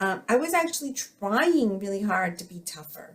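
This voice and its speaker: Here a woman speaks with an American accent. Her pace is moderate. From US, Filipino American family. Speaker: psychologist and author. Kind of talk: interview conversation. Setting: podcast. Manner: hesitant, many fillers.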